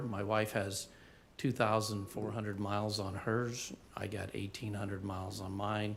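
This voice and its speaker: A man with an unremarkable speaking voice talks at a moderate pace with a fairly low pitch. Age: 60s. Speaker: resident giving public comment. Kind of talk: public comment at meeting.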